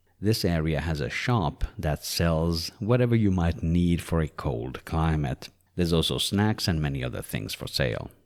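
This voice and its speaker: A man with a very deep, low pitch speaks with lively intonation. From Sweden. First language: Swedish. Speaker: travel vlogger. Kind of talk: scripted narration.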